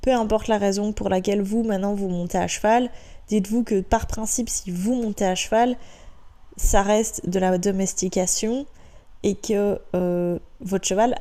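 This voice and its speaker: A woman's dark, mellow voice at a fairly slow pace with fairly even intonation. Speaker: horse rider. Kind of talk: casual talk to camera.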